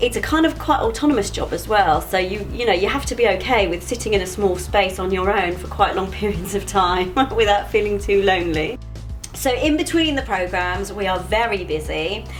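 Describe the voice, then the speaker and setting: A woman at a fairly quick pace, with music playing behind her. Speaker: continuity announcer and voiceover artist. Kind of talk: casual talk to camera, explaining her job. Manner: calm, conversational, friendly.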